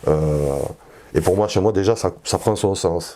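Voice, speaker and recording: The speaker is male. He talks at a moderate pace. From southern France, Perpignan. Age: 40s. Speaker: political activist. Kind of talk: interview testimony. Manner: halting, many hesitations.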